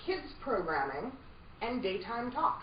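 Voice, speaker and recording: A woman speaks at a fairly high pitch with very wide pitch swings. Noticeable background noise sits behind her. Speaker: voiceover coach. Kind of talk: voiceover coaching lecture to a group. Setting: workshop room with a live audience.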